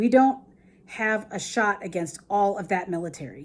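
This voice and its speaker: A woman does a put-on character voice that is raspy, with medium pitch. Her intonation is lively and her pace moderate. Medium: read story.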